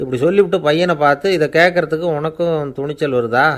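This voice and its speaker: A man with an ordinary speaking voice talks with ordinary pitch variation. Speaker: Tamil orator and storyteller. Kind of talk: humorous story-telling talk. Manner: calm, witty, conversational.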